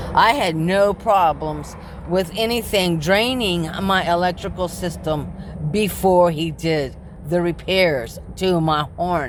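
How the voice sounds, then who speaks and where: Speaking at a very slow pace with ordinary pitch variation, a woman is heard amid noticeable background noise and audible room echo. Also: fairly low pitch for a woman. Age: 60s. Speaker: vlogger living in her car, delivery driver. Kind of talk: personal vlog monologue. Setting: inside her parked car.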